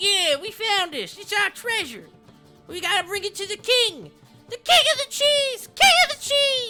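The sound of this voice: A squeaky, put-on character voice at an extremely high pitch moves at a moderate pace. Faint music plays in the background.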